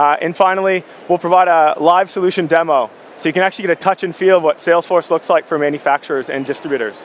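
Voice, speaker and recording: The speaker has a Canadian accent and ordinary pitch variation. The pace is very fast. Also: man, high pitch for a man. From Canada. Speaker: tech company sales director. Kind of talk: conference keynote presentation.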